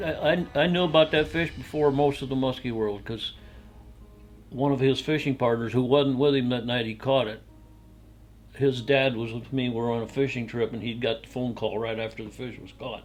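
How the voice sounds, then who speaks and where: Over music in the background, a man talks at a medium pitch and a fairly quick pace. His intonation is fairly even, but his loudness swings widely. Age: 80s+. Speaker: musky angler and historian. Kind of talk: casual chat.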